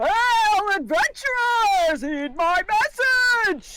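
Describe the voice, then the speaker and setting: An extremely high-pitched put-on character voice at a very slow pace, over loud background noise. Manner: weird, theatrical calling out.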